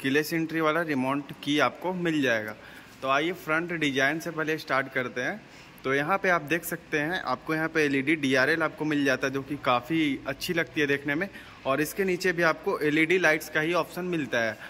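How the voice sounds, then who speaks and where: A man at a moderate pace with fairly even intonation, light background noise behind him. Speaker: car reviewer. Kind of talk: casual product walkaround commentary. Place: shop. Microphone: phone near.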